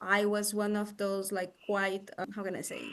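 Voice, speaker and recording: With a Brazilian Portuguese accent, a woman speaks at a medium pitch. Her pace is moderate, and the background is quiet. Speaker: psychologist and coach. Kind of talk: interview. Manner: halting, many fillers.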